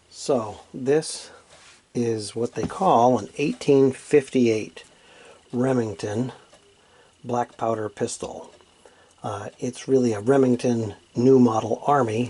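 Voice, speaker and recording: Soft-spoken over noticeable background noise, a man talks at a very slow pace with long, frequent pauses, a medium pitch and ordinary pitch variation. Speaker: firearms hobbyist. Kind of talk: casual unboxing talk.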